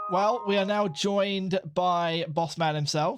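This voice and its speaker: A man with a British accent at a moderate pace, with ordinary pitch variation and music in the background. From Britain. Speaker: podcast co-host. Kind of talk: casual chat.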